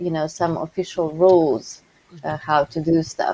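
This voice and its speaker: A woman with a non-native accent speaks in a dark, mellow tone with fairly even intonation. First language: not English. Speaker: documentation contributor on a developer panel. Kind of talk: casual technical discussion in a live coding session. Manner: halting, many fillers.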